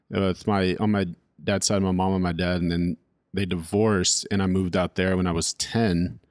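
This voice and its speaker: A man speaks at a moderate pace in a very deep, low voice, his loudness very even and his intonation monotone and flat, on a very clean recording with a silent background. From California. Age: 30s. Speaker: drummer. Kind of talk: casual chat. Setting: home recording.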